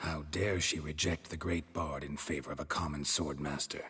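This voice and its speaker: A man's put-on character voice, very deep and low in pitch, with a deadpan tone. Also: moderate pace. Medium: video game. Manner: terse, deadpan.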